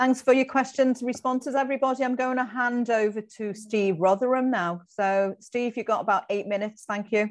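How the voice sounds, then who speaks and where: Against a quiet background, a woman with a high pitch and ordinary pitch variation talks at a fairly quick pace with hardly any pauses. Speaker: meeting chair. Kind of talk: chairing a formal meeting. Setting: video call. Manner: formal. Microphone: video call.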